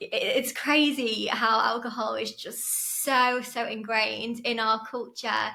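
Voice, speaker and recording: A woman speaks with an English accent in a high pitch. Her pitch varies in an ordinary way. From northern England, Chester. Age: 30s. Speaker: podcast guest in recovery. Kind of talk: casual interview chat.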